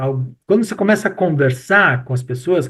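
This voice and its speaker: Lively intonation runs through a man's plain, everyday voice at a moderate pace. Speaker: professor and retail expert. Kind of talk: casual chat.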